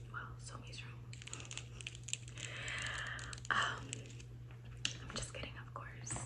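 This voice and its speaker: Soft-spoken, a woman is whispering. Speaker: ASMR creator. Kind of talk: casual vlog chat. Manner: soft close-mic ASMR whisper. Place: home room. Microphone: phone near.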